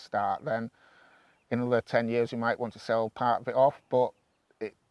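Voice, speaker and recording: A man talks at a moderate pace with a medium pitch and monotone, flat intonation. The sound is dry and close with no echo, over a quiet background. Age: 50s. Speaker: farmer. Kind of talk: interview.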